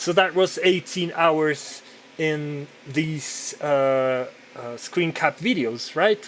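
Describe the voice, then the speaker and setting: Over noticeable background noise, a man speaks very slowly at a fairly high pitch with ordinary pitch variation. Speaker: podcaster and digital artist. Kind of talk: casual monologue while working. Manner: loud; halting with repetitions.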